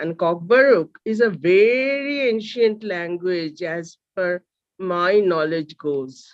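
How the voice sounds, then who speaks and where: With a Bengali accent, a woman speaks at a very slow pace in a medium pitch with lively intonation. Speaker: seminar host. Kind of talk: speaker introduction. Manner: halting.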